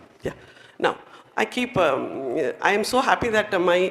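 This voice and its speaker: A woman speaks with a Tamil Indian accent and lively intonation. Noticeable background noise is present. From India, Nilgiri Hills, Tamil Nadu. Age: 60s. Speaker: retired educator, chief guest speaker. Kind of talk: motivational speech. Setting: stage with audience. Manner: animated.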